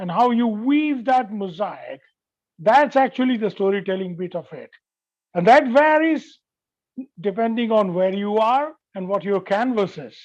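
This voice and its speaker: A man's high voice with a Bengali accent, fairly slow pace, lively intonation, big swings in loudness and long, frequent pauses. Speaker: veteran journalist. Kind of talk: lecture.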